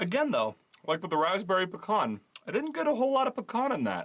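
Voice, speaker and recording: Noticeable background noise runs beneath a man speaking at a fairly quick clip. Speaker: YouTuber doing a food review. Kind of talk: casual candy review while eating. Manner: casual, with fillers.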